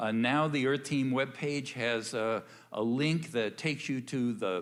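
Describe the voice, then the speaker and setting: At a fairly slow pace, a man speaks at a medium pitch with ordinary pitch variation. The room echo is audible. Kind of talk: church announcement. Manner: halting, many fillers.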